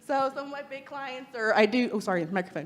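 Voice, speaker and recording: With an American accent, a woman speaks at a high pitch, her intonation lively and her tone animated. Noticeable background noise runs beneath her. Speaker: freelance lettering artist and designer. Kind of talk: meetup talk to audience.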